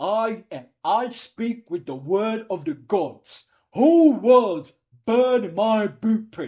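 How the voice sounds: A man's high-pitched, put-on character voice, very slow, over a quiet background.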